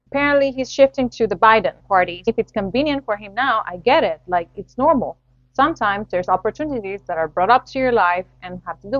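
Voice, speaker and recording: Her pace is fairly quick and her pitch fairly high for a woman. Intonation is lively, with big swings in loudness. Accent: Spanish. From Latin America. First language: Spanish. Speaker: podcast host. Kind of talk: solo podcast commentary.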